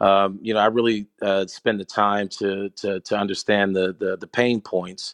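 A man with an American accent speaks in a fairly low pitch at a moderate pace, his intonation monotone and flat, the sound dry and close with no echo. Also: hardly any pauses, quiet background. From Pittsburgh, US. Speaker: sports business founder. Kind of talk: interview. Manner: hesitant with many fillers.

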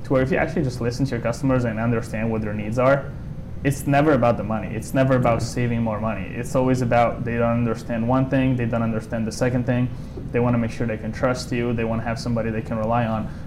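Over noticeable background noise, a man at medium pitch talks at a very fast pace in a monotone, flat intonation. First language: Italian. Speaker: solar sales rep. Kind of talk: interview.

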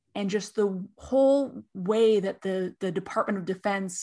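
An unremarkable speaking voice with an American accent and ordinary pitch variation. The background is quiet. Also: woman. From California. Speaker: tech industry marketer. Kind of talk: podcast interview.

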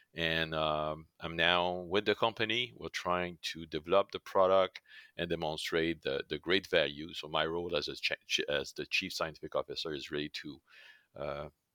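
Recorded very cleanly against a silent background, with a dry, close sound and no echo, a man with a French Canadian accent speaks in a very deep, low pitch and fairly even intonation. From Quebec, Canada. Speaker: pharmacist and scientist, chief scientific officer. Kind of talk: interview explaining technical topics.

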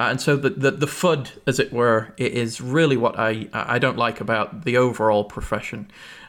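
A man with an English accent talks in a medium-pitched voice with hardly any pauses. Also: ordinary pitch variation, fairly quick pace. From England. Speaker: chief information security officer and podcast co-host. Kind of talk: casual chat. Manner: halting, many fillers.

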